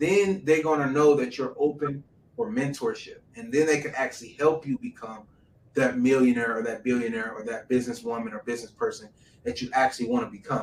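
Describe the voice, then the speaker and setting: Medium-pitched man at a fairly quick pace with big swings in loudness and noticeable background noise. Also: ordinary pitch variation. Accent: American. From Detroit, US. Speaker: entrepreneur. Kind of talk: interview conversation.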